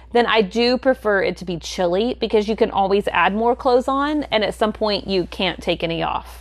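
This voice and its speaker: Speaking at a moderate pace, a woman has an unremarkable speaking voice at medium pitch with ordinary pitch variation. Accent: American. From US South. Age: 40s. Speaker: podcast co-host. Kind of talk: casual chat.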